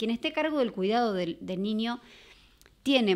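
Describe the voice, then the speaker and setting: A woman's voice with lively intonation. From Argentina. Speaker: mother of a deaf child; podcast guest. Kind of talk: personal testimony. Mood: earnest, reflective. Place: studio. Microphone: studio mic.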